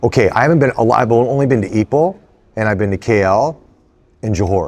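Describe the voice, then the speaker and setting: With an American accent, a man speaks in an ordinary speaking voice at medium pitch, with ordinary pitch variation and a fairly quick pace. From United States. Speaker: actor. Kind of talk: interview.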